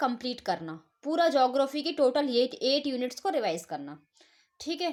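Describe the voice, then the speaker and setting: Female voice with very wide pitch swings. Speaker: online exam coach. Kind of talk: tutorial. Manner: halting with fillers.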